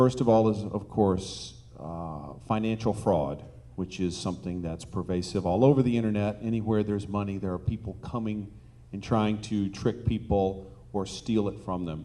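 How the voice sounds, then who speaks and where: Amid audible room echo, a man with a fairly low pitch and a dark, mellow tone talks at a moderate pace with ordinary pitch variation. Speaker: online dating company executive. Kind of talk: conference panel talk.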